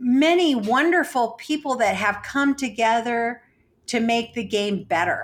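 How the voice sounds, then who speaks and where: A woman's high-pitched voice with lively intonation, on a very clean recording with a silent background. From Mexican-American background. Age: 60s. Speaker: poker organizer and player. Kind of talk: interview. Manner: halting.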